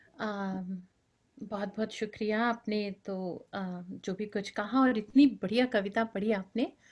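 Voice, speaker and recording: A woman's somewhat breathy, fairly high voice with fairly even intonation, on a very clean recording with a silent background. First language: Bengali (speaking Hindi). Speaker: poet. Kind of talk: poetry reading. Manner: rhythmic.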